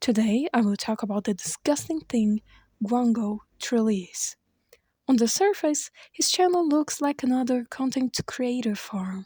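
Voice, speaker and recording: The speaker has a non-native accent and keeps a moderate pace. The recording is very clean, with a silent background. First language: not English. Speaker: YouTube commentary creator. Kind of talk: scripted commentary narration.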